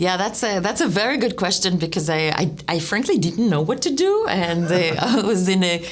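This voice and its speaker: A woman with an Israeli accent speaks at a fairly quick pace and fairly low pitch, her intonation lively. Audible room echo and noticeable background noise come through. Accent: foreign accent, Israeli. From Israel (Netanya). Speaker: startup founder. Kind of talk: interview. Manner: halting, many restarts.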